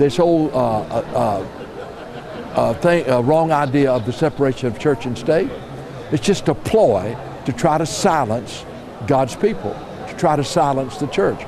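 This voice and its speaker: A man with a fairly high pitch speaks with lively intonation and long, frequent pauses. Audible room echo and noticeable background noise come through. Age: 70s. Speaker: pastor. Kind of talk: interview. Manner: halting.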